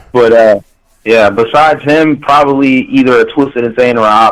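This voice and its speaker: Fairly quick speech from a man at medium pitch, with fairly even intonation. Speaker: rapper. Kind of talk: interview. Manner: casual, filler-heavy.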